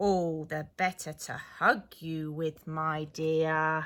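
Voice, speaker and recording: Using a put-on character voice, a woman talks at a very slow pace in a very deep, low pitch. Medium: read story. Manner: sly, gloating.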